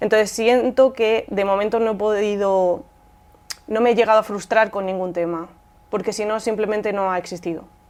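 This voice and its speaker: Speaking in a Madrid accent, a woman keeps a moderate pace. Her medium pitch holds fairly even intonation. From Rivas Vaciamadrid, Spain. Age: young. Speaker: poet and singer-songwriter. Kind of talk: interview answer.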